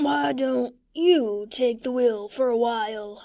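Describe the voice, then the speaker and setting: A woman puts on a character voice. It sits fairly high and moves at a fairly slow pace. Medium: read story. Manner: gruff, mild.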